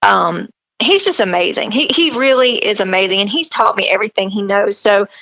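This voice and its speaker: A woman in a strong Southern accent, medium in pitch, with lively intonation and a fairly quick pace. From US South, South Carolina. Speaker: fitness model and country singer. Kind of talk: podcast interview. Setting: remote call. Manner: animated.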